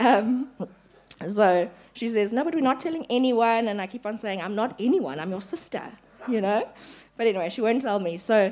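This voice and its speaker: A woman speaking at a fairly quick pace. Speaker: church member giving testimony. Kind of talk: testimony. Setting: church camp gathering with audience.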